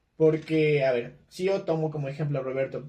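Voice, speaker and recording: A man speaks in a somewhat breathy voice with a dark, mellow tone. His pitch varies in an ordinary way. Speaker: podcast host. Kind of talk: casual chat. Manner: fast.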